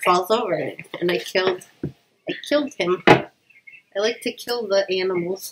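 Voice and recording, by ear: A woman speaks at medium pitch and a moderate pace, with ordinary pitch variation. Her voice carries a slightly husky edge.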